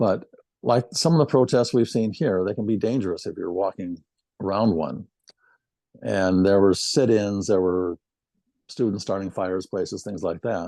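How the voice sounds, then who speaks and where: In a Midwestern American accent, a man speaks at a moderate pace with a fairly low pitch, a dark, mellow tone and ordinary pitch variation. He takes long, frequent pauses. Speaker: retired military band euphonium player. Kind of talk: interview reminiscence. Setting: video interview.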